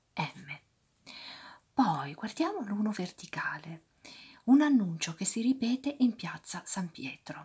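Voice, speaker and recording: Soft-spoken delivery at a very slow pace over a quiet background. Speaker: ASMR creator. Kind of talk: soft-spoken ASMR crossword commentary. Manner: soft-spoken, quiet ASMR voice.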